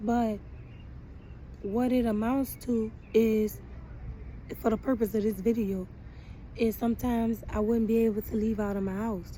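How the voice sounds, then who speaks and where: A woman speaks at a moderate pace in a fairly high pitch, her dark, mellow voice somewhat breathy and flat in a monotone. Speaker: vlogger. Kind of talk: casual monologue. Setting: outdoors in the sun.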